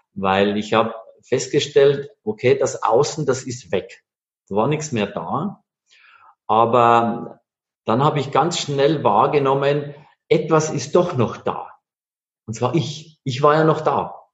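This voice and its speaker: A man talks at a very slow pace, leaving long, frequent pauses. His voice is somewhat breathy, with ordinary pitch variation. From Bavaria, Bavarian Forest. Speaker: master engraver, entrepreneur. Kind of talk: interview.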